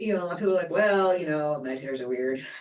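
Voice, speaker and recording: This woman speaks at a fairly low pitch with ordinary pitch variation. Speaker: neuroscience researcher. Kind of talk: interview. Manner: fast.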